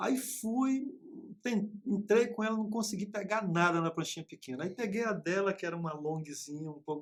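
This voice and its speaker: With lively intonation and high pitch, a man talks at a moderate pace. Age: 50s. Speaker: teacher. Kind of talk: casual chat.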